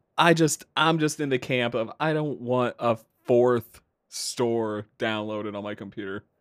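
A man speaks at a fairly slow pace in a normal speaking voice, with medium pitch and ordinary pitch variation. The recording is very clean, with a silent background and a dry, close sound with no echo. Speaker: podcast host. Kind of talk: casual chat.

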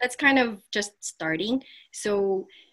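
A woman with a Filipino accent and a bright, sharp tone, speaking at a very slow pace with ordinary pitch variation in a very clean recording with a silent background. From Philippines, Manila area. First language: Tagalog. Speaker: physical therapist, clinic owner. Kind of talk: interview.

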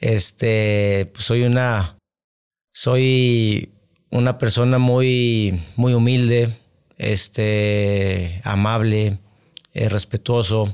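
At a very slow pace, a man talks with very even loudness, a medium pitch and fairly even intonation. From Monterrey, Mexico. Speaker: football coach. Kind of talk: interview.

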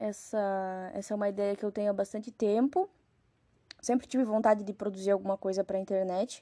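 A woman's medium-pitched, dark and mellow voice at a fairly quick pace, monotone and flat, with a dry, close sound and no echo. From Rio Grande do Sul, Brazil. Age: 20s. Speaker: podcaster. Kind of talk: casual solo monologue.

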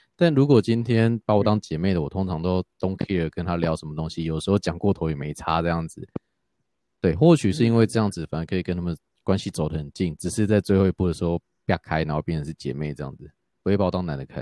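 This man has a very deep, low voice with a dark, mellow tone. He talks very fast, and the sound is dry and close with no echo. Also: ordinary pitch variation. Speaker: podcaster and office worker. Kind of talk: casual chat.

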